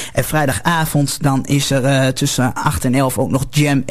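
The speaker is a man. His pitch sits fairly high. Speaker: local radio presenter, producer and technician. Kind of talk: radio broadcast sign-off and programme announcements. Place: studio. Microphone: studio mic.

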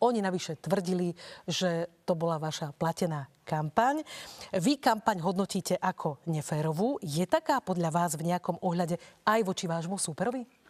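A woman speaks at a moderate pace in a fairly low pitch. It is a normal speaking voice with ordinary pitch variation. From Slovakia. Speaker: radio and TV debate moderator; radio, TV debate moderator. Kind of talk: moderated debate. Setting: studio. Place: studio. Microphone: lapel.

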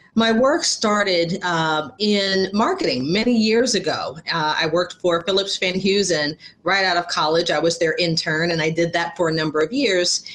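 At a moderate pace, a woman speaks with hardly any pauses and very even loudness. Her pitch is fairly low, with ordinary variation. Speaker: speaker. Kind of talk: talk about her own career. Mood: warm, confident. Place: home room. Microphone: webcam.

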